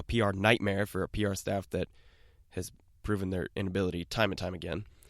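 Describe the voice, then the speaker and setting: In a dry, close sound with no echo on a very clean recording with a silent background, a man talks at a very fast pace with a fairly low pitch and fairly even intonation. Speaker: political podcast host. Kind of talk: podcast news commentary. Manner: casual, conversational.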